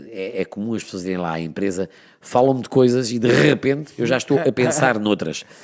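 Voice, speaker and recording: Pitched fairly low, a man's voice moves in very wide pitch swings. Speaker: radio presenter. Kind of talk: interview answer.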